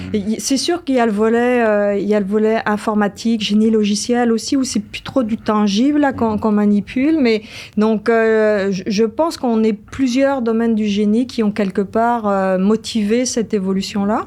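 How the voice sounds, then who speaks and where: Fairly high in pitch, a woman's voice has a dark, mellow tone and fairly even intonation at a moderate pace. She keeps her loudness very even and hardly pauses. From France, Brittany. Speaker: engineering professor. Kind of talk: podcast interview. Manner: hesitant, many fillers.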